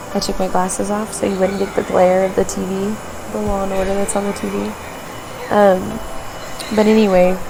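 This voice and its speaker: A quiet woman's voice at medium pitch, flat and monotone, with audible room echo and noticeable background noise. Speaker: vlogger. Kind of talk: personal vlog. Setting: hospital room. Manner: quiet, hushed.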